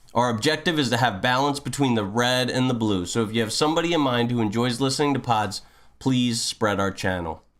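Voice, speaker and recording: A man with an unremarkable speaking voice talks at a fairly quick pace in a medium pitch, keeping his loudness very even. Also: ordinary pitch variation. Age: 30s. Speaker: podcast host. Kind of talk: scripted show intro.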